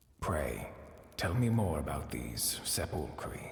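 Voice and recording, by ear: Whispering in a cartoonish character voice, a man goes at a fairly slow pace with a slight echo.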